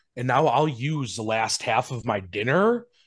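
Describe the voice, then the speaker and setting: A man with an Upper Midwest accent, moderate pace, lively intonation, and a quiet background. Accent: Upper Midwest American. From Wisconsin. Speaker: wedding DJ, business owner. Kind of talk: casual chat. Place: home room. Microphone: video call.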